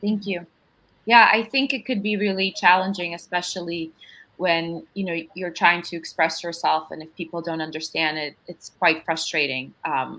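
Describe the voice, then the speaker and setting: A woman in a Russian accent talks at a moderate pace with a fairly low pitch, a bright, sharp tone, ordinary pitch variation and big swings in loudness. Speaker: panel moderator. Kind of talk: panel discussion.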